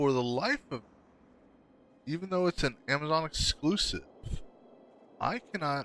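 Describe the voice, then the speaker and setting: Mumbling at a fairly slow pace with long, frequent pauses, a man uses lively intonation and a bright, sharp tone at a fairly high pitch. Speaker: game streamer. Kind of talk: casual chat. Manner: halting.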